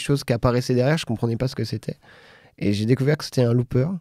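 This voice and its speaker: A man speaks in a dark, mellow tone with fairly even intonation. The recording is very clean, and the background is silent. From France and Britain. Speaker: singer-songwriter. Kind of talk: radio interview. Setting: radio studio. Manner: halting.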